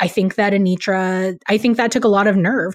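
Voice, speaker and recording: A woman with an ordinary speaking voice, medium in pitch, at a moderate pace. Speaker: podcast co-host, news director. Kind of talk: casual chat.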